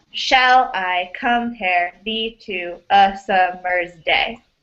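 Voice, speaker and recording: Putting on a robotic character voice, a woman speaks at a medium pitch and a very slow pace. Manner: stiff, mechanical, stresses misplaced.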